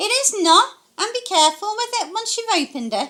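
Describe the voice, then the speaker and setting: A woman's put-on character voice, squeaky and extremely high in pitch, with lively intonation and a fairly quick pace. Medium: read story. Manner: plain-spoken, affectionate.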